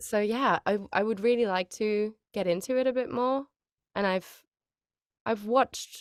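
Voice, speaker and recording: In a very clean, dry, close recording with no echo and a silent background, a woman with a German accent speaks at a fairly slow pace with a fairly high pitch and fairly even intonation. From Germany. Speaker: voice actor. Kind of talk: interview. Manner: casual, hesitant with fillers.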